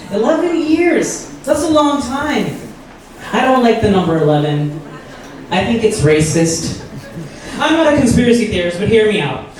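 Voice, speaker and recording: A man speaks at a moderate pace with an American accent, his pitch high for a man and swinging very widely. Long, frequent pauses break his speech, and the recording has audible room echo and noticeable background noise. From Pakistan, Lahore. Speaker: stand-up comedian. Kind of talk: stand-up. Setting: stage with audience.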